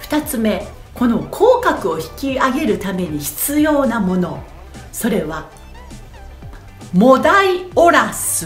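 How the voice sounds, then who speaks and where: A woman speaks at a very slow pace with a high pitch, very wide pitch swings and big shifts in loudness, leaving long, frequent pauses over faint background music and audible room echo. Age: 40s. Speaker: voice trainer. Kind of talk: voice training lesson to camera. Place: home room. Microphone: phone near.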